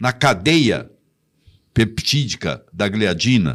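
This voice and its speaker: On a very clean recording with a silent background, a man at a medium pitch speaks very slowly with vocal fry and very wide pitch swings. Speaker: physician. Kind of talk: interview answer. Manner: didactic.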